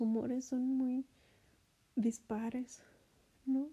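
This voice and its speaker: The woman's high voice carries a dark, mellow tone, delivered with monotone, flat intonation. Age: 30s. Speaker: podcast host. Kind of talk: casual monologue. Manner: hesitant, many fillers.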